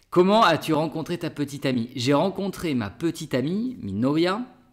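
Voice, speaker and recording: Against a quiet background, a man talks at a fairly slow pace with very wide pitch swings. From France, Bordeaux; France. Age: 30s. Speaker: French teacher, YouTuber; French teacher, vlogger. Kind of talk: casual Q&A vlog. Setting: outdoors, public garden. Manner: hesitant, with fillers. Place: home room.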